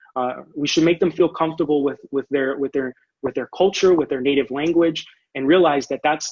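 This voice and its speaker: A man with a Spanish accent at a fairly high pitch and fairly quick pace, with fairly even intonation and a dry, close sound with no echo. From Orlando, Florida (born in Puerto Rico). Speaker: education presenter, academic. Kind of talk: conference presentation. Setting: online video presentation with screen share. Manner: halting, many repetitions and fillers.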